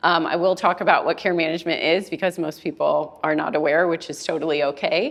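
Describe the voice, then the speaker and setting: At a very fast pace with hardly any pauses, a woman with an American accent speaks at fairly low pitch and with fairly even intonation. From US East Coast. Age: 40s. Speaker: care manager and mediator. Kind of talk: presentation talk. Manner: loud.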